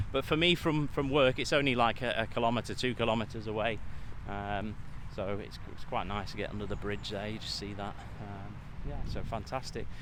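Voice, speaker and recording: A man with a British accent and a fairly low voice, fairly quick pace, vocal fry, and audible room echo. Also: ordinary pitch variation. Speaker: vlogger and mind coach. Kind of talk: casual vlog. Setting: outdoors walking.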